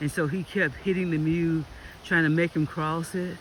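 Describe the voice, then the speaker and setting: The speaker talks at a moderate pace in a Southern US accent, with noticeable background noise. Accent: Southern US (Georgia). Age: 60s. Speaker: local resident filming storm damage. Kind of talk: casual vlog narration. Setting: outdoors. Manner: animated.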